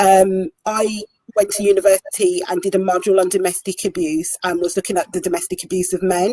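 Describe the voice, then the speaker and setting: Her voice is dark and mellow, a woman with a Birmingham accent captured in a dry, close sound with no echo. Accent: broad Birmingham. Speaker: domestic abuse volunteer coordinator. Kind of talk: online panel discussion.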